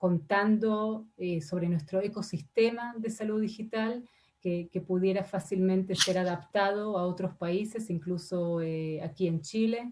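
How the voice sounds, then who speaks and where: The speech is somewhat breathy, at a fairly slow pace with hardly any pauses. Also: woman, medium pitch for a woman, ordinary pitch variation. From Argentina. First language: not Spanish; Spanish is her third language (speaking Spanish). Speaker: ambassador. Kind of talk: parliamentary committee testimony. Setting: senate committee session. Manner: halting, many fillers and repetitions.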